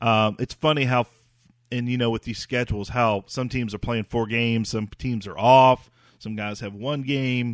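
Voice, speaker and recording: A man talks at a moderate pace with fairly even intonation in an ordinary speaking voice. The very clean recording has a silent background and a dry, close sound with no echo. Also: medium pitch for a man. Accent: American. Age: 40s. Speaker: podcast host. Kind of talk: casual sports talk.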